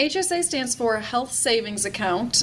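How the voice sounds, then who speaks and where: A woman speaks at a high pitch. Her pace is moderate. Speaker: tax expert. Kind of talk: interview.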